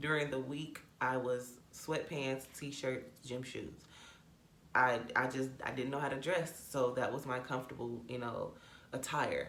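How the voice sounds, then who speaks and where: A woman's very deep, low pitch in a monotone, flat delivery at a fairly slow pace, with audible room echo. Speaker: YouTuber. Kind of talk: storytime vlog. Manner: casual, conversational.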